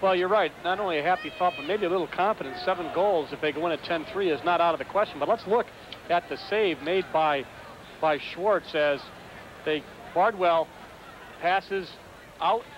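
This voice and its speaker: At a moderate pace and high pitch, a man speaks with ordinary pitch variation and long, frequent pauses. The sound is dry with no echo, though background noise is noticeable. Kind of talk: live sports commentary, color analysis. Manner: conversational, explanatory, and enthusiastic.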